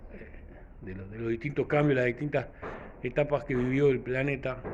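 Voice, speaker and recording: The talking moves at a fairly quick pace with ordinary pitch variation. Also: man. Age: 60s. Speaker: vlogger. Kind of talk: casual reflective monologue. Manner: halting, many fillers.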